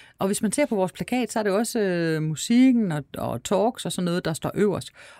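At a moderate pace, a woman speaks with lively intonation and a dark, mellow tone in a very clean, dry, close recording with no echo and a silent background. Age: 50s. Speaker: festival director. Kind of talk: interview conversation.

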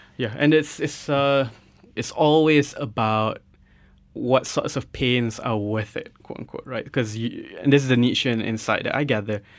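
At a moderate pace, a man with an unremarkable speaking voice talks at medium pitch with fairly even intonation. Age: 30s. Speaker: radio host. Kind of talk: radio interview. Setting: radio studio.

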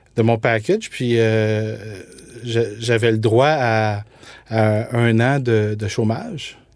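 This man talks in a medium pitch. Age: 40s. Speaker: food entrepreneur. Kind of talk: interview.

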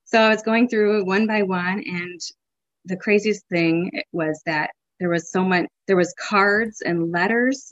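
A woman in a plain, everyday voice with a medium pitch speaks at a fairly slow pace with lively intonation. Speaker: mother sharing faith story. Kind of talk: tearful faith testimony recalling her family crying on their knees in thanks. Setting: podcast interview. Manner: emotional, breaking into tears and laughter while retelling; rambling, conversational with frequent restarts and fillers.

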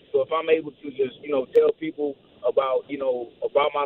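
A man in an American accent, with noticeable background noise. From St. Louis, Missouri, US. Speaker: MMA fighter. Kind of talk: radio interview.

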